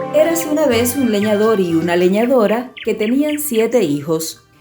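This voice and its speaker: Music plays in the background as a woman speaks. Her fairly high voice swings very widely in pitch. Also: hardly any pauses, very even loudness. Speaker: audiobook narrator. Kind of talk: dramatized audiobook narration.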